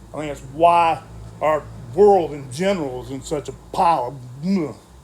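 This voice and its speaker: In a room with audible echo, a man speaks in a somewhat breathy, fairly high voice with ordinary pitch variation. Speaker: Bible study teacher. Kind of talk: Bible study lecture. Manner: halting, stumbling over words.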